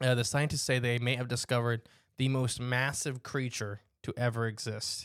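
Using a normal speaking voice, a man speaks at a moderate pace with a medium pitch. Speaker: podcast host. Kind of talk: casual chat. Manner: joking, playful.

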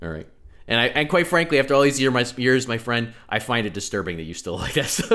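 A man with an American accent talks at a very fast pace in a bright, sharp tone with vocal fry and very wide pitch swings, on a very clean recording with a silent background. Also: medium pitch for a man. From New York. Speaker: podcast host, terrorism analyst. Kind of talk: casual chat. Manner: fast talker.

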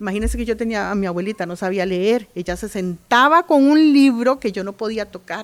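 On a very clean recording with a silent background, a woman in a normal speaking voice talks fairly quickly and with hardly any pauses, her fairly high pitch carrying lively intonation. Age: 50s. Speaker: oral storyteller and writer. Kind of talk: interview. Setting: book fair.

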